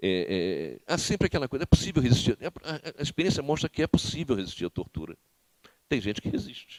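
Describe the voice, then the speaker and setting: Vocal fry runs through a man's medium-pitched voice as he speaks at a fairly quick pace with very wide pitch swings, the sound dry and close with no echo. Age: 60s. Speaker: former political prisoner and author. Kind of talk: lecture. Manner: halting, frequent repetitions.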